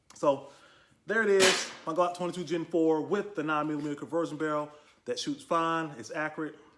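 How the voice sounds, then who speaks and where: Over light background noise, a man talks at a fairly quick pace in a fairly high voice with fairly even intonation. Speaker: gun review youtuber. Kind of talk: product review. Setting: garage. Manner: fast; casual. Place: garage. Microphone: phone near.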